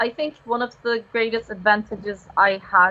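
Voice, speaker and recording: With noticeable background noise, a woman with a Turkish accent speaks fairly slowly in a fairly high pitch. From Turkey. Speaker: university student. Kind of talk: live stream interview. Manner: halting.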